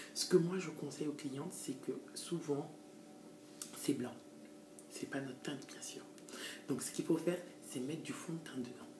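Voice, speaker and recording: A woman's very deep, low voice at a moderate pace, with ordinary pitch variation, big swings in loudness and long, frequent pauses, over noticeable background noise and audible room echo. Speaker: hair extension seller and stylist. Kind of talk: tutorial. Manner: hesitant, many fillers.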